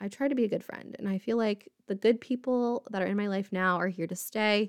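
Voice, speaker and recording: A woman with a normal speaking voice talks at a moderate pace in a fairly high pitch, her intonation fairly even, on a very clean recording with a silent background. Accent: American. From US Midwest (Indiana, near Indianapolis). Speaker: podcast host, mental health advocate. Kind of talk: personal storytelling monologue.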